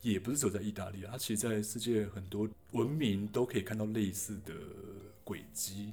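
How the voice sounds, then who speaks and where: This man speaks at a fairly quick pace with a Taiwanese accent, fairly low pitch and a dark, mellow tone. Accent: Taiwanese Mandarin. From Taiwan, Taichung. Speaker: radio DJ and artist. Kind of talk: casual interview conversation.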